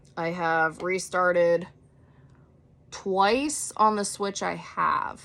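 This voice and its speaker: A woman's bright, sharp voice in an American accent, with ordinary pitch variation. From Minnesota (Marshall). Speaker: gaming streamer and makeup vlogger. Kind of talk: casual makeup tutorial chat. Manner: rambling, hesitant with fillers.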